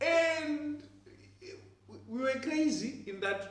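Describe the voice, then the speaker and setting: A man speaks with lively intonation. There is audible room echo around his voice. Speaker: professor and church elder. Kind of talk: testimony. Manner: loud.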